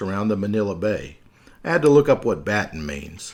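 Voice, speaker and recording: A man with a Southern US accent at a moderate pace. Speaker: podcast host. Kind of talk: scripted podcast narration.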